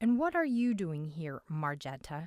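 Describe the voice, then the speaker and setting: Using a put-on character voice, a woman speaks at a fairly low pitch. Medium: read story. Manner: guarded, commanding.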